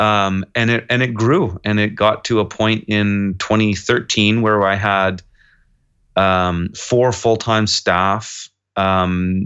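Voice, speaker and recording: Against a quiet background, the bright, sharp voice proceeds at a very slow pace. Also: man. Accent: western Canadian. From Kelowna, British Columbia, Canada. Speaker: urban farmer. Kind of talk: casual interview.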